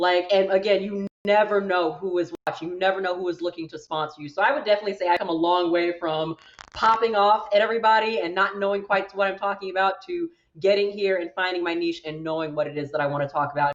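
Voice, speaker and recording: This woman talks at a very fast pace with a medium pitch. Her pitch varies in an ordinary way. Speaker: voice actor and anime content creator. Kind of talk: panel discussion. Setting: live stream panel.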